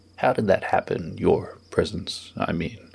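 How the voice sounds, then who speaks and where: This man puts on a character voice, keeping to a moderate pace. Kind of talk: formal courtroom questioning. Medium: read story. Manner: stern, dry, unhurried.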